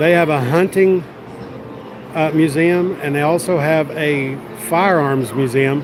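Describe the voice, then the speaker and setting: With a Texas accent, a man talks at a fairly slow pace in a fairly high pitch, his intonation fairly even over noticeable background noise. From West Texas, Odessa. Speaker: live streamer. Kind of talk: casual chat.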